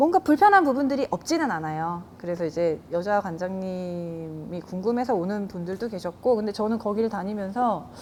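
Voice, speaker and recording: A woman talks at a moderate pace in an ordinary speaking voice. Her pitch is medium and her intonation lively. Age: 40s. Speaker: jiu-jitsu gym owner and instructor. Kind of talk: interview.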